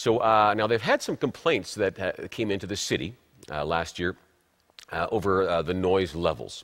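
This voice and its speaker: A man with a plain, everyday voice speaks at a moderate pace. His pitch is fairly low with ordinary variation, on a very clean recording with a silent background. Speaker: TV talk show host and broadcaster. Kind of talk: TV talk show host introduction.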